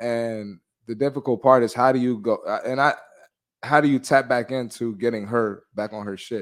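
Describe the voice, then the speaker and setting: Heard on a very clean recording with a silent background, a plain, everyday voice moves at a moderate pace with fairly even intonation. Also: man, medium pitch for a man. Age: 30s. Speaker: fitness podcast host. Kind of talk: casual chat; pep talk. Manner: blunt, forceful, motivating.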